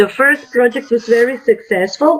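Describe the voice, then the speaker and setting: A woman with a Croatian accent at a fairly slow pace, over noticeable background noise. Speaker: teacher. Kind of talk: panel discussion. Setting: webinar. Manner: halting.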